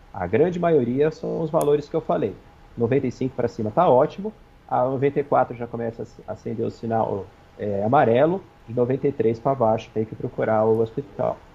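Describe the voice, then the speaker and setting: Somewhat breathy speech at a fairly quick pace with ordinary pitch variation. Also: man, medium pitch for a man. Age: 40s. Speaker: infectious disease physician. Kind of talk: TV interview. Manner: fast.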